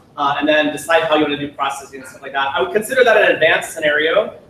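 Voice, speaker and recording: A man's fairly high voice at a very fast pace, with ordinary pitch variation and noticeable background noise. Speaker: software product manager presenting to user group. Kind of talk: technical presentation. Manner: frequent fillers and restarts.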